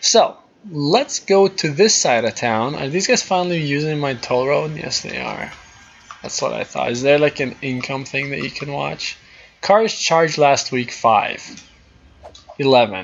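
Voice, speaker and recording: Over noticeable background noise, someone with a non-native accent speaks at a fairly slow pace with lively intonation. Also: man, fairly high pitch for a man. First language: not English. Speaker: gaming YouTuber. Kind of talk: gameplay commentary. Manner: casual, thinking aloud.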